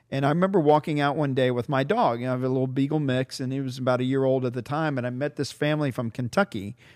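This man has an ordinary speaking voice at medium pitch, with ordinary pitch variation. He talks at a fairly quick pace over a quiet background. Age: 60s. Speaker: podcast host, tourism bureau executive. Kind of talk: casual interview.

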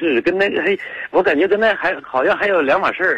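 Over noticeable background noise, a man with a high pitch talks at a fairly quick pace, his voice making very wide pitch swings. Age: 40s. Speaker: caller, vegetable shop owner. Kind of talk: phone-in call. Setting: phone call. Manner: halting.

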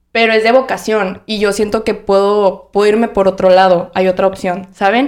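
At a moderate pace, a woman with a plain, everyday voice speaks at a medium pitch with fairly even intonation. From Monterrey, northern Mexico. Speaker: podcast co-host. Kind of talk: casual chat.

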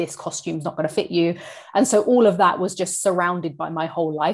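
A woman talks in an unremarkable speaking voice, fairly low in pitch with ordinary pitch variation. The recording is very clean and the background silent. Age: 30s. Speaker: fitness coach. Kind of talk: interview conversation.

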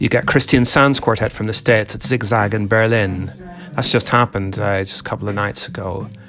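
Amid noticeable background noise, a man talks at a fairly quick pace with a fairly low pitch and ordinary pitch variation. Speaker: jazz website editor. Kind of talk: radio DJ patter, breezy weekly jazz roundup. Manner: chatty, conversational; brisk, full of fillers and hesitations.

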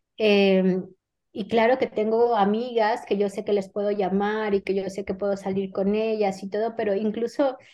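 Speaking with a Mexican accent, a woman keeps a medium pitch and fairly even intonation at a moderate pace. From Mexico. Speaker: novelist. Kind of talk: interview.

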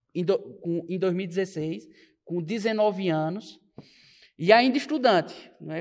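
His intonation lively, a man talks in a high pitch. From Pernambuco, Brazil (Belo Jardim). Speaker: young politician and political commentator. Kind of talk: podcast interview.

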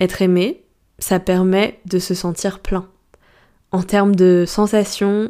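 On a very clean recording with a silent background, a woman speaks very slowly in a monotone, flat intonation. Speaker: life coach and astrologer podcaster. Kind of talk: solo podcast monologue. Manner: deadpan; casual.

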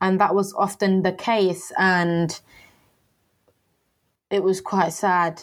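Slow pace with little pitch movement. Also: woman, fairly low pitch for a woman.

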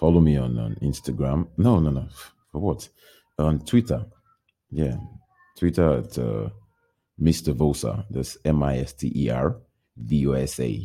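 A man talks with a very deep, low pitch and a dark, mellow tone. His intonation is lively, broken up by long, frequent pauses. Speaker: podcaster. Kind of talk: casual monologue, podcast intro. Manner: halting, hesitant, self-deprecating.

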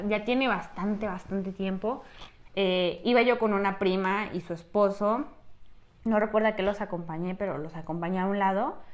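The pace is moderate and the pitch variation ordinary. It is a plain, everyday voice. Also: woman. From Mexico, Tlaxcala. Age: 20s. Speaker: podcast host, cosmetologist. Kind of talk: casual chat. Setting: small room, seated together.

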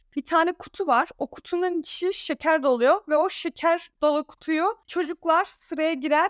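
With a Danish accent, a woman speaks in a high pitch at a fairly slow pace, in a very clean recording with a silent background and dry, close sound with no echo. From Alanya, Turkey (Danish family). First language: Danish (speaking Turkish). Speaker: content creator. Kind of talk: casual interview chat.

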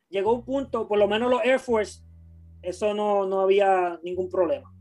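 A man with a high voice and ordinary pitch variation is heard on a very clean recording with a silent background. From Puerto Rico, Guayama. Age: 30s. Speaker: sneaker YouTuber and video director. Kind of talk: casual chat. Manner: halting.

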